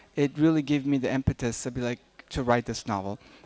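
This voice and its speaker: Using a medium pitch and ordinary pitch variation, a man talks at a fairly quick pace with an Afghan accent in a dry, close sound with no echo. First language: Dari. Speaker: novelist. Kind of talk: literary festival talk. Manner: halting.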